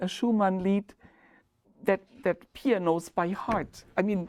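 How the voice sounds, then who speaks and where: With a German accent, a woman at medium pitch speaks at a very slow pace in a very clean recording with a silent background. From Germany, Ludwigshafen on the Rhine. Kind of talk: oral history interview. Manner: halting.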